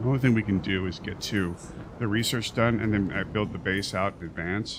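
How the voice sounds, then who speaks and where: A soft-spoken man talks at a fairly quick pace with fairly even intonation. His pitch is fairly low. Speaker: gaming streamer. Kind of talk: live gameplay stream commentary.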